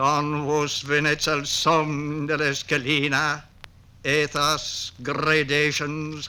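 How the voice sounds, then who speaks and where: A man speaks very slowly in a fairly high, bright and sharp voice with monotone, flat intonation. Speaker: poet. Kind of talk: poetry reading.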